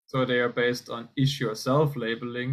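The man talks at a moderate pace, with a quiet background. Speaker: economics researcher presenting; presenter. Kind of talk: academic conference presentation. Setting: video call. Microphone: video call.

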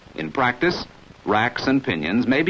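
The pace is moderate. Vocal fry runs through the speech. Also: man. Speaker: film narrator. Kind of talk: vintage training film narration. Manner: formal, measured, authoritative; even-paced, didactic, instructional.

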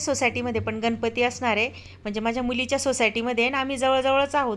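A woman with a high voice speaks in a fairly even tone, recorded very cleanly against a silent background. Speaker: lifestyle vlogger. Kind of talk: vlog narration. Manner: conversational.

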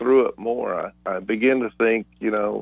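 The recording has a dry sound with no echo and a quiet background. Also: man. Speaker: radio show co-host. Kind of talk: reflective talk-show commentary. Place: studio.

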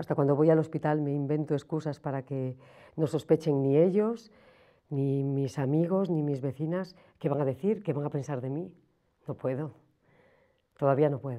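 A dark, mellow tone with ordinary pitch variation and long, frequent pauses against a quiet background. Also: woman, very deep, low pitch for a woman, moderate pace. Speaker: person living with HIV. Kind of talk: scripted testimony. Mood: sad, withdrawn, hesitant. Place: studio.

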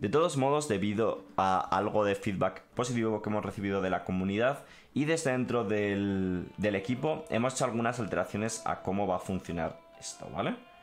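A man speaks fairly fast while light noise runs underneath. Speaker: gaming streamer. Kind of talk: live stream commentary, reading and translating a text.

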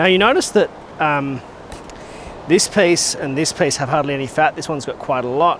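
Over faint background noise, a man talks at a moderate pace with a fairly high pitch, a fairly bright tone and ordinary pitch variation.

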